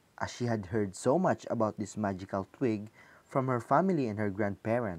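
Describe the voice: Pitch shifts in an ordinary way. The delivery is plain reading aloud.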